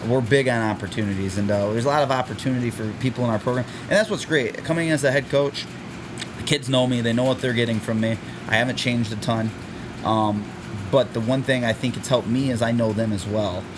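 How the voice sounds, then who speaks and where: Over noticeable background noise, a man at medium pitch talks very fast with fairly even intonation. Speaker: high school football head coach. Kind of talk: interview. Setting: school athletic facility. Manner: loud.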